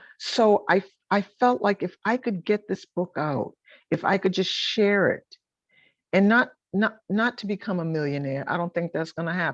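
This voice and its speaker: An unremarkable speaking voice with lively intonation and an American accent at a moderate pace, dry and close with no echo over a quiet background. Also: woman, medium pitch for a woman. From Boston, US Northeast. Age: 60s. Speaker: author and gospel singer. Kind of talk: interview.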